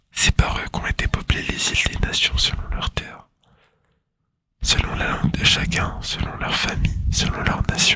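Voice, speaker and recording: This is a man. He is whispering. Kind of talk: whispered ASMR Bible reading. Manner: whispered, soft.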